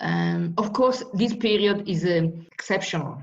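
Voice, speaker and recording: Speaking at a fairly slow pace, a woman uses a medium pitch with vocal fry. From Italy, Marche region. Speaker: professor. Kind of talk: casual interview. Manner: halting.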